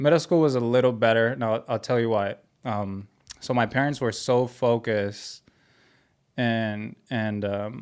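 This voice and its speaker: In a Spanish accent, a man speaks at a fairly slow pace and medium pitch with fairly even intonation, recorded very cleanly against a silent background. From Mexico (Ciudad Juarez), moved to US as child. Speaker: clothing brand founder. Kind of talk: podcast interview, personal story. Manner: casual.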